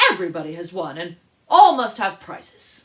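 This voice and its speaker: The speaker puts on a character voice. Its pitch is in the middle range. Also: moderate pace. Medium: read story. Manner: grave, ceremonious.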